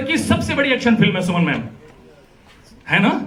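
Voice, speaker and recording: Amid noticeable background noise and audible room echo, a man talks in an animated tone at a high pitch. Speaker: event anchor, actor and comedian. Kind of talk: live event anchoring with comedy.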